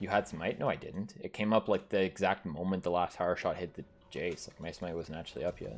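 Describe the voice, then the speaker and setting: With a Canadian accent, the speaker goes at a fairly quick pace and makes big swings in loudness. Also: man, very deep, low pitch for a man, ordinary pitch variation. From French Canada. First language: French. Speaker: streamer and gamer. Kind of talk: casual live-stream gaming commentary. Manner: casual, filler-heavy.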